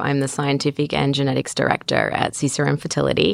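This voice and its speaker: A woman with a very deep, low pitch talks fairly quickly. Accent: Australian. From Australia. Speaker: reproductive geneticist. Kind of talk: expert interview.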